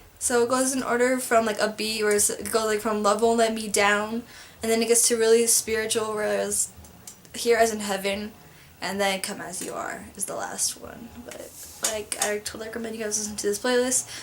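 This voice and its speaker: A woman mumbles at a fairly quick pace in a fairly high, flat monotone, her loudness swinging widely over noticeable background noise. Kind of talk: casual talk to camera. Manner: mumbling.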